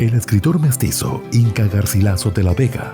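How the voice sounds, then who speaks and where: Over background music, the speaker talks at a moderate pace with lively intonation. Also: man. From Peru. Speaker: voice-over announcer. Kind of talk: documentary narration.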